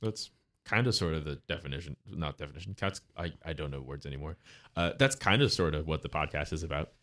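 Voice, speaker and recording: On a very clean recording with a silent background, a man with a very deep, low pitch and vocal fry talks at a very fast pace. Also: lively intonation. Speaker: podcast guest. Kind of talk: casual chat.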